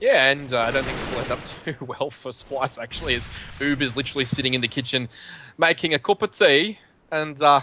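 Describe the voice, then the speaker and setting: A man with an Australian accent talks at a fairly quick pace with ordinary pitch variation. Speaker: esports caster. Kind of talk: live commentary. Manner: animated.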